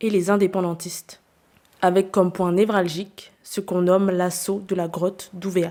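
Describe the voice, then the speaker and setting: A woman's medium-pitched voice, dark and mellow in tone, monotone and flat, at a moderate pace. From New Caledonia (Nouméa). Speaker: podcast host. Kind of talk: scripted narration.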